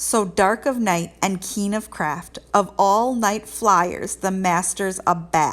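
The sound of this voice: The reading voice here is unforced.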